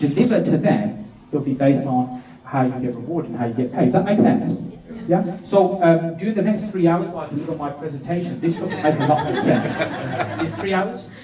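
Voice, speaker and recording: A man's fairly high, animated voice with lively intonation, amid noticeable background noise and audible room echo. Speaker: business and property speaker. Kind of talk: seminar presentation. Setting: stage with audience. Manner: fast. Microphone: echoey microphone.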